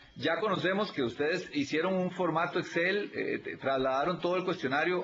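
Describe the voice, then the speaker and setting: A man's high-pitched voice at a moderate pace, with ordinary pitch variation, audible room echo and noticeable background noise. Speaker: auditor at a public audit institution. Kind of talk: videoconference consultation. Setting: video call.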